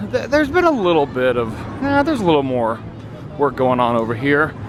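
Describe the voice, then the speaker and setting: A loud man with a fairly high pitch speaks amid noticeable background noise and audible room echo. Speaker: theme park vlogger. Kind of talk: casual walking vlog commentary. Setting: outdoors walking in a theme park. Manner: talking loudly; hesitant, many fillers.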